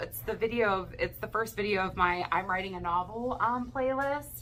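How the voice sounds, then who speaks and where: Speaking at a fairly high pitch, a woman keeps a moderate pace. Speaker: vlogger and aspiring novelist. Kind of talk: casual vlog chat. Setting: home kitchen with kids around. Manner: loud; hesitant with fillers.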